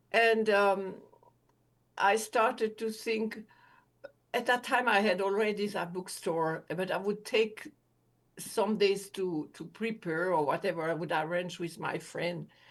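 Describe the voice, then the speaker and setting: A woman's fairly slow speech with long, frequent pauses, ordinary pitch variation and a quiet background. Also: medium pitch for a woman. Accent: French. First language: French. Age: 80s+. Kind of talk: interview testimony. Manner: halting.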